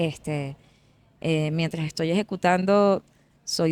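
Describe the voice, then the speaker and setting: The sound is dry and close, with no echo. The delivery is monotone, with flat intonation. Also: woman. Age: 40s. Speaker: singer. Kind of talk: casual interview chat. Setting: café. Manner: halting, many fillers and repetitions.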